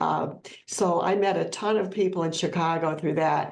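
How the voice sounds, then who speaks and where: A woman with a Midwestern US accent, a fairly quick pace and ordinary pitch variation. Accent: US Midwest. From Ohio. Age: 70s. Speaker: plant-based educator and author. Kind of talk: podcast interview.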